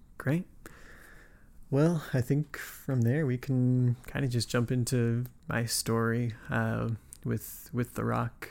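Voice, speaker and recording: A man talks very slowly with an American accent. His voice is medium in pitch with fairly even intonation. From US West (Nevada, then California). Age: 20s. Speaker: podcast host. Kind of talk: scripted narration; casual interview conversation.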